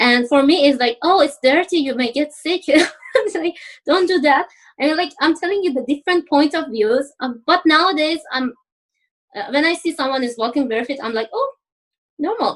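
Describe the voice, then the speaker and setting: A woman speaks with an Iranian accent. Her pitch is high. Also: lively intonation, moderate pace. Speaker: university student, former engineer. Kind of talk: interview podcast.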